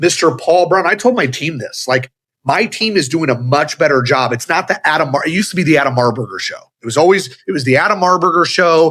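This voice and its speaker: A loud, fairly high male voice, bright and sharp in tone, with ordinary pitch variation at a fairly quick pace. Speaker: automotive business leader and speaker. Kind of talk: casual interview chat.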